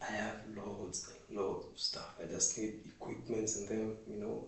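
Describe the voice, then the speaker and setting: In a Kenyan accent, a man with a fairly low pitch speaks amid audible room echo and noticeable background noise. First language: Swahili. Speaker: vlogger. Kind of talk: casual monologue. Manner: halting.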